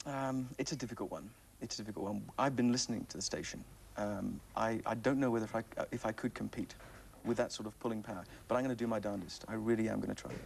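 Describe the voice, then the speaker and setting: A man talks at a very fast pace with vocal fry. His intonation stays fairly even. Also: medium pitch for a man. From Northern Ireland, Belfast. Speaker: radio disc jockey. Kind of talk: playful TV interview. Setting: TV studio.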